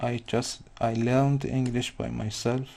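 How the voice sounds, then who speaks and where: A man speaks with a non-native accent. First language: not English. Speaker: digital artist. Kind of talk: live painting tutorial.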